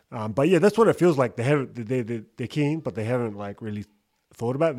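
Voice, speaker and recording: On a very clean recording with a silent background, a man with a New Zealand accent speaks very fast at a medium pitch. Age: 30s. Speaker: podcast host. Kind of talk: casual chat. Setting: studio.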